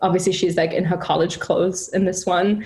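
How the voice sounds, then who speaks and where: Over noticeable background noise, a woman talks in a monotone, flat way. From Germany. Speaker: music event director. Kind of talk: casual interview. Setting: video call.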